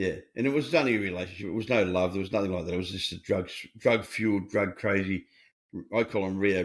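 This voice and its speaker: With an Australian accent, a man talks very fast, his pitch varying in an ordinary way. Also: fairly low pitch for a man. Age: 70s. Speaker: recovery coach and author. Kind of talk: podcast interview. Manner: animated.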